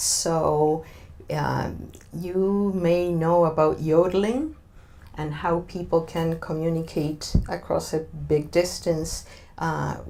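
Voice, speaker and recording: The voice moves at a very slow pace with a dark, mellow tone and a Spanish accent. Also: woman. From Argentina. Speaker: diversity consultant. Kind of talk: interview. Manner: hesitant, many fillers.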